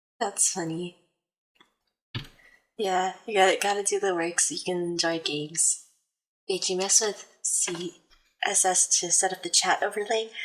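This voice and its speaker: With long, frequent pauses, a soft-spoken woman speaks at a fairly slow pace, with a medium pitch and fairly even intonation. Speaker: livestreamer. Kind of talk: casual chat. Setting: livestream.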